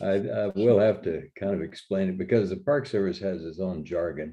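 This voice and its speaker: This man has a dark, mellow tone and a fairly low pitch, speaking at a moderate pace with fairly even intonation. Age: 80s+. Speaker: retired park ranger naturalist. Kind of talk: interview. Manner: halting, many fillers.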